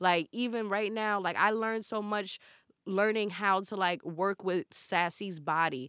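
A woman with a New York accent talks at a moderate pace. The sound is dry and close with no echo, in a very clean recording with a silent background. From Brooklyn, New York. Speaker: celebrity stylist. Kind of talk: casual chat.

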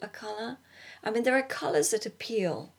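On a very clean recording with a silent background, a woman speaks in a British accent with ordinary pitch variation. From Britain. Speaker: artist. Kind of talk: monologue. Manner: halting, many fillers and restarts.

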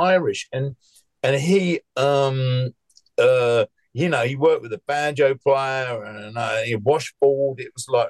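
Recorded dry and close with no echo, a man with an English accent speaks at a fairly high pitch. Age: 70s. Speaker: musician. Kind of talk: casual chat.

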